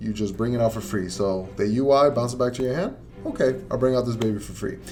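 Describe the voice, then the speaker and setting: An animated man at a medium pitch speaks very fast, with audible room echo. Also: ordinary pitch variation. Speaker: card game content creator. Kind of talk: tutorial.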